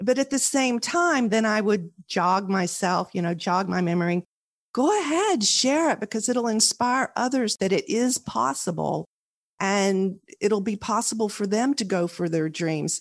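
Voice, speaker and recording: It's a plain, everyday voice at a fairly slow pace with lively intonation. The background is quiet, and the sound is dry and close with no echo. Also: woman, medium pitch for a woman. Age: 50s. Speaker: author. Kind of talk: interview.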